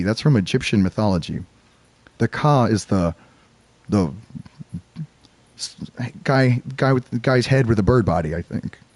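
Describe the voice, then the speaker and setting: A man's voice with very wide pitch swings at a moderate pace, the sound dry and close with no echo. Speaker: gaming streamer reading game text aloud. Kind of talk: casual commentary mixed with reading aloud.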